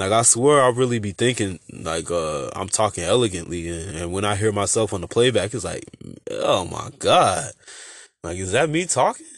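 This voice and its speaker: Mumbling in a fairly low voice, a man still carries lively intonation. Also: moderate pace. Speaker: podcast host. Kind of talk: casual monologue. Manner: halting.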